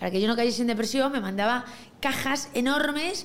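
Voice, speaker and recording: Over noticeable background noise and audible room echo, a woman speaks at a moderate pace. Her fairly high voice has lively intonation. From Galicia, A Coruña. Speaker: entrepreneur. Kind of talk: casual interview.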